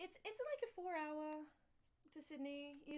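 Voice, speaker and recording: The speaker has an Australian accent. The pitch swings very widely. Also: woman. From Australia, rural town near Canberra. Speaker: dancer and performer. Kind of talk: casual interview.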